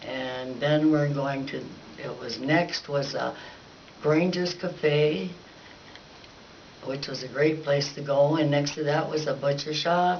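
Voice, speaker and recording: With an American accent and a very deep, low pitch, a woman speaks very slowly with long, frequent pauses amid audible room echo and noticeable background noise. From Baker, Montana (eastern Montana, US). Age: 80s+. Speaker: local resident giving oral history. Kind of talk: oral history recollection. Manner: halting, with hesitations.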